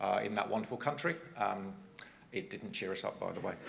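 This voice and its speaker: Talking at a very fast pace, a man with a southern English accent is heard with audible room echo and noticeable background noise. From England (Cambridge). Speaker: transport agency manager. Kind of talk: conference presentation. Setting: stage with audience.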